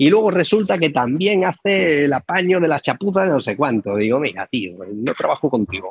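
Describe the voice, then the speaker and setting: A man with vocal fry and a fairly high pitch swings very widely in pitch. He talks at a moderate pace with hardly any pauses. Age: 40s. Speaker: real estate mentor. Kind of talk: interview.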